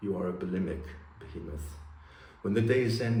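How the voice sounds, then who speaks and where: Audible room echo surrounds a man whose voice has vocal fry and ordinary pitch variation. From Germany, raised in several countries. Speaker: poet. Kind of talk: poetry reading; casual introduction.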